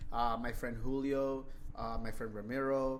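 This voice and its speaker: A man at a medium pitch with a flat, monotone delivery and a moderate pace, amid audible room echo. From Los Angeles area (Huntington Park), Mexican-American. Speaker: real estate investor. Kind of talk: interview. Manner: halting, repeats words.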